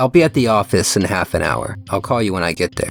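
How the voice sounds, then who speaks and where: A man does a put-on character voice at a fairly low pitch and very fast pace. Faint music plays in the background. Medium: read story.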